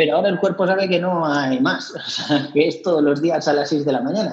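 This man has an ordinary speaking voice, talking at a fairly quick pace with ordinary pitch variation. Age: 40s. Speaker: amateur runner. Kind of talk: casual interview chat.

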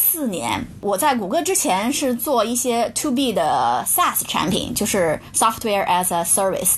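A woman speaks at a fairly high pitch with very wide pitch swings and very even loudness. She hardly pauses, and there is noticeable background noise. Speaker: product manager. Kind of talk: interview. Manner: hesitant, many filler sounds.

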